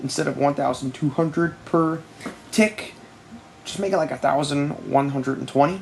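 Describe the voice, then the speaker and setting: A quiet voice with long, frequent pauses over noticeable background noise. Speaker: gaming youtuber. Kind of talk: casual commentary video. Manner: quiet, late at night; fast.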